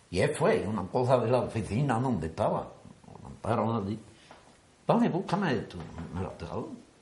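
A man talks at a moderate pace and medium pitch, his pitch swinging very widely. He leaves long, frequent pauses, and the room echo is audible. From Spain, Andalusia (Antequera). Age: 80s+. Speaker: miniature float builder, brotherhood member. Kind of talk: interview.

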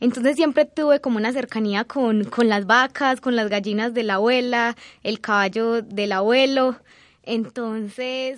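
At a fairly slow pace, a woman speaks at a fairly high pitch with fairly even intonation. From Colombia, Antioquia (San Rafael). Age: 20s. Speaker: agricultural engineer. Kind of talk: personal testimony interview. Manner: hesitant, many filler sounds.

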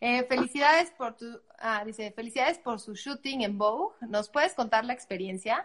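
Speaking in a central Mexican accent, a woman uses a high pitch, ordinary pitch variation and a moderate pace. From Mexico, Puebla. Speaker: online show host. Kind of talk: live interview. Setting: live stream.

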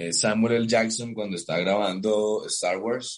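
A man with a fairly low voice speaks at a very slow pace. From Colombia, Cartagena. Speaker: actor. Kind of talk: interview. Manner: halting, many repetitions.

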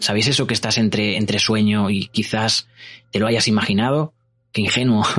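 With very even loudness and fairly even intonation, a man speaks at a moderate pace in a fairly low pitch. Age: 30s. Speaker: podcast host. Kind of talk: personal storytelling. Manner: halting.

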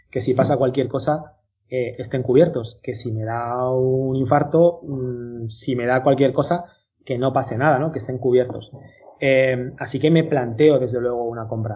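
Somewhat breathy, a man talks at a fairly slow pace in a medium pitch with fairly even intonation. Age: 40s. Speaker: company founder. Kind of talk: interview.

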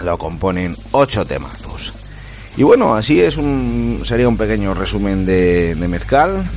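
A man with a very deep, low pitch and very wide pitch swings at a fairly slow pace, with audible room echo and noticeable background noise. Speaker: music podcast host. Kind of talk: casual radio-style show presentation. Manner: animated.

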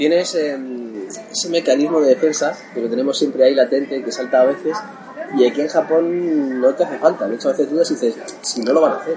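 Music plays behind a man who talks very fast. His pitch is fairly high, with ordinary variation. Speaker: retro video game website contributor. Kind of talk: casual interview chat. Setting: at a convenience store in Japan over beer. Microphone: recorded much quieter than the host.

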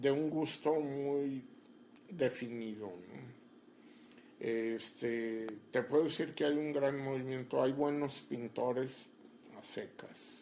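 A man's medium-pitched, dark, mellow voice at a very slow pace, with ordinary pitch variation and long, frequent pauses. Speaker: painter. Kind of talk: interview.

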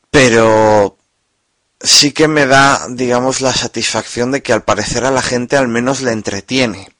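A man with a plain, everyday voice talks at a medium pitch and fairly slow pace. His intonation is fairly even, and the sound is dry and close with no echo. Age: 20s. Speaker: podcaster. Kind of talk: personal monologue.

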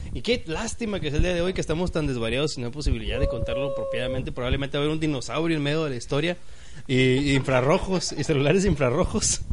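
A man with a fairly high pitch talks at a very fast pace in an animated tone with ordinary pitch variation. Noticeable background noise and audible room echo fill the recording. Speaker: podcast host. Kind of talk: casual chat. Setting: live-streamed podcast recording.

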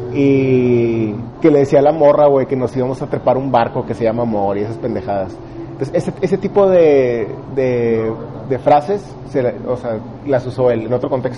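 A man's medium-pitched voice with a Mexican accent, ordinary pitch variation, a moderate pace, long and frequent pauses, and noticeable background noise. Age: 20s. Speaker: stand-up comedian and engineer. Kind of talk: casual interview chat.

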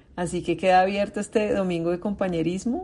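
Dark and mellow in tone, a woman's voice moves with fairly even intonation. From Colombia. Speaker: recovery meeting facilitator. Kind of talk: meeting facilitation.

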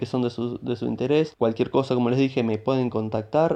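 Against a quiet background, a man with a Rioplatense accent speaks at medium pitch with fairly even intonation and a dark, mellow tone. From Buenos Aires, Argentina. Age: 30s. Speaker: podcast host, programmer. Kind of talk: solo podcast introduction.

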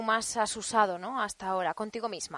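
With a normal speaking voice, a woman talks at a fairly high pitch and with fairly even intonation, the sound dry and close with no echo. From Spain, Alcoy (Alicante). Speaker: podcast host. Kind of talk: interview. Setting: studio.

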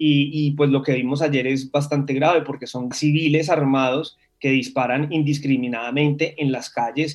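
A man's fairly high-pitched, monotone, flat voice at a moderate pace with hardly any pauses. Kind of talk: interview.

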